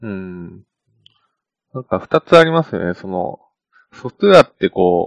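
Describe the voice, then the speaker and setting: A man at medium pitch with very wide pitch swings, speaking at a moderate pace, in a dry, close sound with no echo. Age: 20s. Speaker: software engineer podcast co-host. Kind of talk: casual chat.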